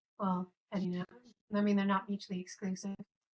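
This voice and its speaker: The voice is somewhat breathy. Its intonation is monotone and flat. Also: woman, dry, close sound with no echo. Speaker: live streamer. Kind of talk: casual chat. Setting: live stream in virtual world.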